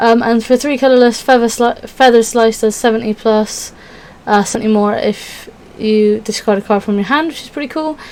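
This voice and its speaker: Against noticeable background noise, a woman with a fairly high pitch and ordinary pitch variation speaks with big swings in loudness. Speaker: Pokémon card game YouTuber. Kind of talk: casual tutorial walkthrough. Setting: at home. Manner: fast.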